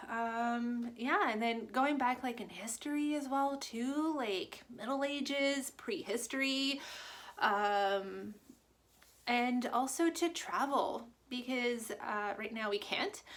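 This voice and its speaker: At a very slow pace, a woman with a French Canadian accent speaks in a high pitch with ordinary pitch variation. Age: 30s. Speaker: booktuber. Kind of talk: casual vlog. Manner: hesitant, many fillers.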